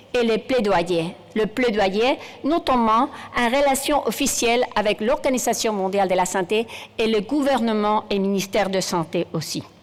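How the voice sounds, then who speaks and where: Speaking with a Spanish accent at a fairly slow pace, a woman keeps her loudness very even and her pitch variation ordinary, over noticeable background noise. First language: Spanish (speaking French). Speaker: general practitioner and professor. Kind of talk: conference keynote speech. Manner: halting, with hesitations.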